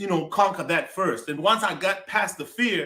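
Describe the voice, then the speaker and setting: A man with an American accent sounds energetic, his tone bright and sharp. His pitch varies in an ordinary way. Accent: Zimbabwean, some said to sound American. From Zimbabwe (Mbare, Harare). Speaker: comedian. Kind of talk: interview.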